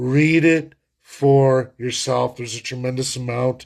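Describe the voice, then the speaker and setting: He has a normal speaking voice at a medium pitch. The man speaks at a fairly slow pace. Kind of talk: political rant to camera. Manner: angry, forceful.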